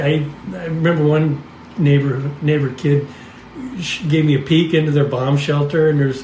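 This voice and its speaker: Fairly slow speech from a man with a fairly high pitch, plus clearly audible background noise and room echo. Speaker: podcast host. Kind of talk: casual storytelling chat. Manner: halting, with frequent restarts.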